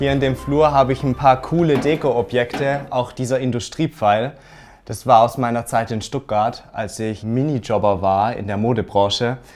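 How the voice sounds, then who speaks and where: A man's medium-pitched voice in an Alemannic accent, at a moderate pace with ordinary pitch variation. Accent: Alemannic dialect from near the Swiss border. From German-Swiss border region (southern Baden). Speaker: home owner giving a room tour. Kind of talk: home tour presentation. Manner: animated.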